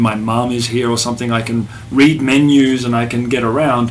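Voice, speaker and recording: Over noticeable background noise, a man speaks with audible echo in the room. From Australia, Melbourne. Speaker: musician. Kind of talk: casual chat. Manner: halting.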